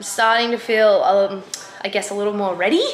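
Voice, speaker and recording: A woman talks at a very fast pace with fairly even intonation, over light background noise and audible room echo. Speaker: athlete vlogger. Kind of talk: casual vlog chat. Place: home room. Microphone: phone near.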